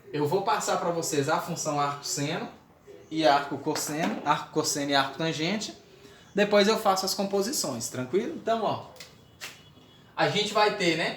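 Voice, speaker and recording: A man with a high-pitched voice talks at a moderate pace with ordinary pitch variation and long, frequent pauses. Room echo is audible and background noise is noticeable. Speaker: math teacher. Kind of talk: lecture. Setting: recorded video lesson.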